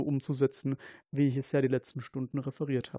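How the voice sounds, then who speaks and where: Against a quiet background, a man with fairly high pitch and a dark, mellow tone is heard in a dry, close sound with no echo. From Germany, Kaiserslautern (Palatinate). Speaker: paramedic and researcher. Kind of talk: casual chat. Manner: halting.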